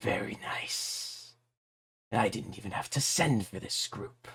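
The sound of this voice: Putting on a raspy character voice at medium pitch, a man speaks at a fairly slow pace.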